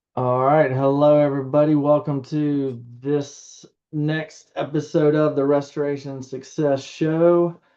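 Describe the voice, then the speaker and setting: A man talks in a Southern US accent with a fairly high pitch for a man. His delivery is monotone and flat, fairly slow, with hardly any pauses. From US South. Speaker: podcast host. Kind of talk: podcast interview.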